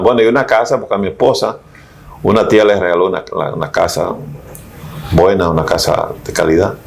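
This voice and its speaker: A man's voice over noticeable background noise. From Dominican Republic, Mao. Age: 70s. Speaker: philosophy professor. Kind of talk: interview. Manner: halting.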